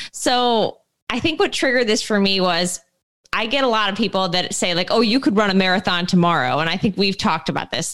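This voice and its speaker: In a plain, everyday voice, a woman with a medium pitch speaks with lively intonation. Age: 20s. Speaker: running podcast co-host and coach. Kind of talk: casual chat.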